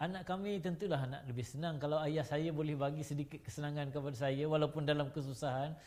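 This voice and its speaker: A man's fairly high, somewhat breathy voice at a very fast pace, with fairly even intonation. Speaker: talk show host. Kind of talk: panel discussion.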